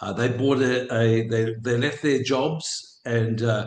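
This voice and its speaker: A somewhat breathy man's voice of medium pitch, in an Australian accent, at a fairly slow pace with ordinary pitch variation. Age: 70s. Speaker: businessman and property investor. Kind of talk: interview. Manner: halting.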